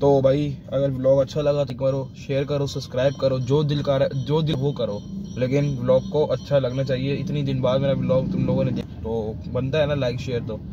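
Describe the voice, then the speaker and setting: Clear music sits in the background while a man talks in a monotone, flat intonation. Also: medium pitch for a man, moderate pace, dry sound with no echo. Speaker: vlogger. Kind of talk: casual vlog. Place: car. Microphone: phone near.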